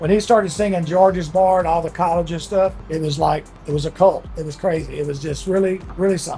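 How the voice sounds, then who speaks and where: With a Texan accent, a man speaks at a very fast pace in a high pitch, keeping his intonation fairly even. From Texas (Beaumont). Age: 60s. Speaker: restaurant owner. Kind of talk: interview. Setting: on location at a restaurant.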